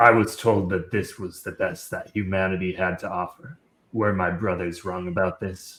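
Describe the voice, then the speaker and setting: A man puts on a character voice, pitched very deep and low, and talks at a moderate pace. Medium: actual play. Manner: solemn, measured.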